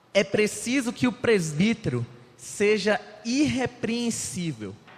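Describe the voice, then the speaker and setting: Very wide swings in pitch run through a man's speech. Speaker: lay preacher. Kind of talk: sermon. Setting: church.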